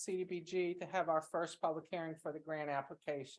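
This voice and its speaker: At a moderate pace, a woman is talking. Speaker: town staff member presenting grant application. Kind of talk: public meeting presentation. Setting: town council meeting room. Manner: loud, projecting voice.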